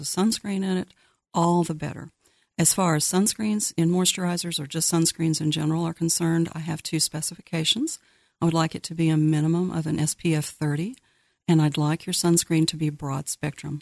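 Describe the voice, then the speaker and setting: A woman speaks fairly fast in a plain, everyday voice, fairly low in pitch and with fairly even intonation. The sound is dry and close with no echo, over a quiet background. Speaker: dermatologist. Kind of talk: expert Q&A on a call-in radio show. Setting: studio.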